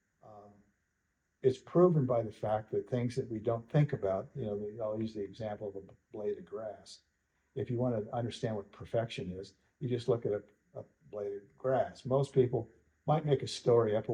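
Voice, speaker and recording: A man with a dark, mellow, somewhat breathy tone speaks with big swings in loudness. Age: 70s. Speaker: western artist and sculptor. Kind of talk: interview. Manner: halting, many repetitions.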